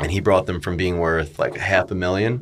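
A man with an American accent and a very deep, low pitch talks at a moderate pace with ordinary pitch variation. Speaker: real estate broker and podcaster. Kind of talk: casual interview storytelling.

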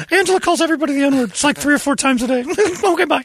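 A man puts on a character voice pitched extremely high. He rattles along at a very fast pace. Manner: disguised, altered voice.

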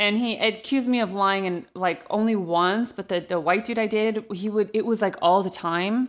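A woman with an American accent speaks in a normal speaking voice at medium pitch, with fairly even intonation, at a moderate pace with hardly any pauses. The recording is very clean, with a silent background. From Central Valley of California (Modesto). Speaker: stand-up comedian. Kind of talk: casual chat.

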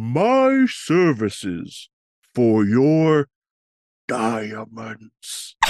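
A man does a put-on character voice, guttural and at a medium pitch, with lively intonation. He speaks at a very slow pace. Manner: bargaining.

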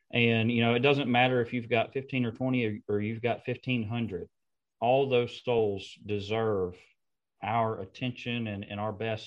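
An ordinary speaking voice from a man, medium in pitch, with fairly even intonation and a fairly slow pace. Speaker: preacher and podcast host.

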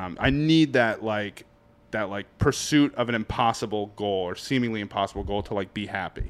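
A man with a Boston accent, fairly low in pitch, at a moderate pace with ordinary pitch variation. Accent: New England (Boston). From New Hampshire, born in Boston. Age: 30s. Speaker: stand-up comedian. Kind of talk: casual chat.

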